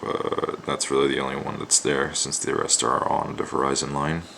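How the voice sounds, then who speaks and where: A soft-spoken man is talking. Noticeable background noise can be heard. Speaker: art student. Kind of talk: drawing tutorial. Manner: near whisper.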